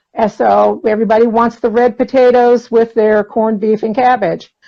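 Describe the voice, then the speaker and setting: A woman in a normal speaking voice, fairly high in pitch, at a moderate pace. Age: 60s. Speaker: interview guest sharing diet success story. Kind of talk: casual interview chat.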